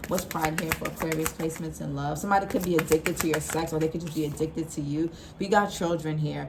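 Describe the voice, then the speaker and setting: Over noticeable background noise, a woman talks at a very fast pace. Her pitch is very deep and low, and her intonation is monotone and flat. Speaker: tarot reader. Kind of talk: tarot reading. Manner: casual.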